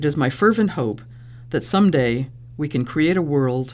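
A woman's very deep, low voice with vocal fry, lively intonation, and a moderate pace. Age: 60s. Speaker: storyteller. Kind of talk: storytelling performance; interview. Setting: stage with audience; studio.

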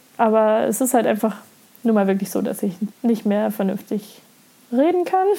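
With long, frequent pauses, a woman speaks at a moderate pace in a fairly high voice with ordinary pitch variation. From Lower Saxony, Germany. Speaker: podcaster. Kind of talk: casual monologue.

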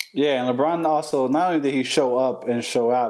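A man has a plain, everyday voice at medium pitch with ordinary pitch variation. He keeps a moderate pace on a very clean recording with a silent background. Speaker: co-host. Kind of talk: casual sports podcast banter, with a showy ring-announcer style sign-off. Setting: live podcast recording.

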